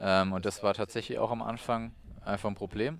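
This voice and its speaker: The recording is very clean, with a silent background. A man with a fairly low pitch speaks at a fairly quick pace. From Germany, Weinheim (Baden-Württemberg, Odenwald edge). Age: 20s. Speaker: professional triathlete. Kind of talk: interview. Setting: training camp on Lanzarote.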